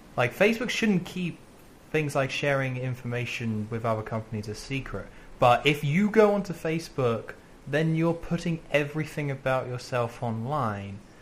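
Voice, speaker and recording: In a British accent, a man speaks at a fairly high pitch with a somewhat breathy quality. His intonation is lively and his pace moderate. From Britain. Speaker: video game podcast co-host. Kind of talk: casual chat.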